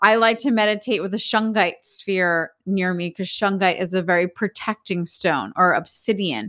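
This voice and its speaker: A plain, everyday voice with an American accent, at a moderate pace with hardly any pauses and ordinary pitch variation, in a very clean recording with a silent background. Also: woman, medium pitch for a woman. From Philadelphia, US. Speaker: spiritual teacher. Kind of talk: casual interview chat.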